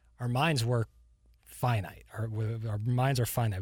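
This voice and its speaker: A man speaks at a moderate pace and medium pitch, sounding somewhat breathy. The recording is very clean, and the background is silent. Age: 20s. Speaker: podcast co-host. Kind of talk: casual chat. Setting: studio.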